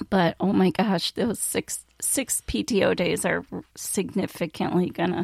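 A woman's very slow, very evenly loud voice with vocal fry, medium pitch, ordinary pitch variation, and a dry, close sound with no echo. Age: 50s. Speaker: podcast co-host. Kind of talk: casual chat.

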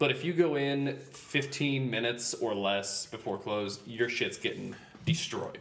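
A man with an American accent speaks at a fairly slow pace in an unremarkable speaking voice. His pitch sits in the medium range, with ordinary pitch variation. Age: 30s. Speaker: guest on a casual podcast. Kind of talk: casual banter chat. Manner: joking, casual.

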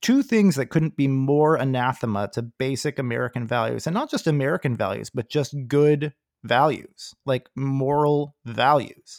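A man's fairly high pitch and an ordinary speaking voice at a moderate pace, with hardly any pauses and ordinary pitch variation, dry and close with no echo in a very clean recording over a silent background. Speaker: podcast host. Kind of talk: casual political discussion.

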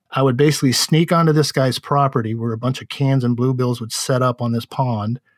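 A man with an American accent speaks at a fairly quick pace, in a normal speaking voice. His medium pitch carries fairly even intonation. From San Francisco Bay Area, California. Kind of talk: casual interview.

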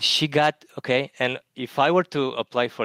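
A man talks with an Eastern European accent. The sound is dry and close, with no echo. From Romania. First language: Romanian. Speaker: math lecturer, caller. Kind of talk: casual chat.

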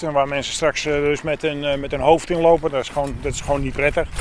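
Noticeable noise fills the background. Over it, a man talks very quickly. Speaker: arborist adviser. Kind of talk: on-site explanation.

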